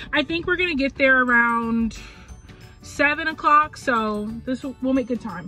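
A woman speaks with a high pitch in a dry setting with no echo. Clear music plays behind her. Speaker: travel vlogger. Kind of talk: casual vlog chat. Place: car. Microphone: phone near.

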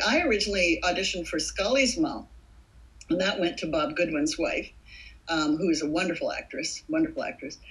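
Somewhat breathy, a woman talks at a fairly quick pace with very wide pitch swings. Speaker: actress. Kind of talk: interview answer. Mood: warm, thoughtful. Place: home room. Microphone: webcam.

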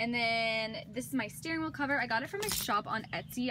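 This is a woman talking. Background noise is noticeable throughout. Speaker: vlogger. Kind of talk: casual vlog chat. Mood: cheerful, enthusiastic. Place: car.

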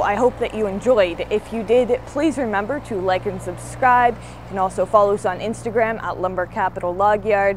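Over light background noise, a woman talks with ordinary pitch variation in a dry sound with no echo. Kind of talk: casual vlog chat. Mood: pleased, enthusiastic. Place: workshop.

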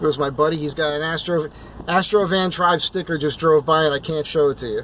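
A man talks at a fairly quick pace with fairly even intonation. Light background noise sits under a dry sound with no echo. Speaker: van vlogger. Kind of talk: casual vlog chat. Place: car. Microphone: phone near.

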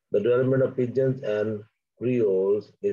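A man's fairly low, dark, mellow voice with a slightly husky edge, fairly even intonation and a fairly slow pace

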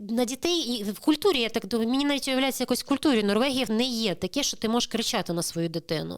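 A woman talks at a very fast pace with hardly any pauses. Her pitch is fairly high. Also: lively intonation. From Crimea, Ukraine. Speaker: immigrant sharing experience. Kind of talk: interview.

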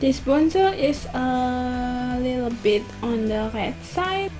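A woman speaks with a high pitch while clear music plays in the background. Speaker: beauty vlogger. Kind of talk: makeup tutorial chat. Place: home room. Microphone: camera far.

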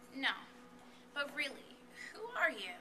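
A woman projects her voice with lively intonation. Light background noise sits behind her. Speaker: student poet. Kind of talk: spoken word performance. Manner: rhythmic. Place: hall. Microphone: camera far.

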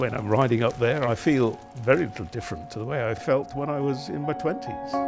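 A man talks at a fairly quick pace. Clear music sounds in the background. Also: medium pitch for a man, ordinary pitch variation. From England. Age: 80s+. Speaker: retired amateur cyclist. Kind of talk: interview answer. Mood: warm, reminiscing. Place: home room.

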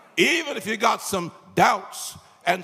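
A man speaks at a very slow pace over light background noise. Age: 80s+. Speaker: pastor. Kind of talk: sermon. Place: hall. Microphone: handheld.

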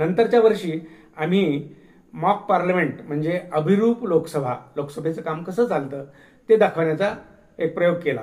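This man talks with a high pitch. His intonation shows ordinary variation. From Marathwada, Maharashtra (Latur region). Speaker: retired storyteller recounting memoirs. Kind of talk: memoir narration.

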